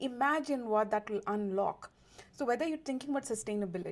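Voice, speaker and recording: A woman speaks with an Indian accent in an animated tone. Her pitch varies in an ordinary way, and the recording is very clean with a silent background. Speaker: diversity and inclusion consultant, lawyer. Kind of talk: interview.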